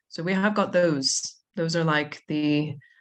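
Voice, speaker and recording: A woman talks at a fairly slow pace in a very deep, low pitch. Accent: American. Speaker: zoo manager. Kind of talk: podcast interview. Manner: animated.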